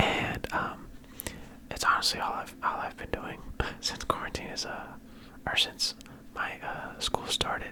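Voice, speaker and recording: A man whispers in a relaxed tone at a fairly slow pace, leaving long, frequent pauses, over noticeable background noise. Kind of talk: ASMR sports talk. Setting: home studio with mic arm. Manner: whispered; soft-spoken, relaxed.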